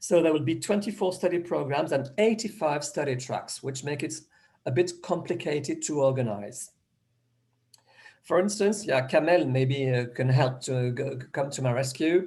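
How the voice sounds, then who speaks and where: A man with a fairly high pitch speaks at a moderate pace, his dark, mellow tone somewhat breathy and his intonation lively. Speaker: educator presenting a programme. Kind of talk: presentation in an online meeting. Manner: halting, many false starts.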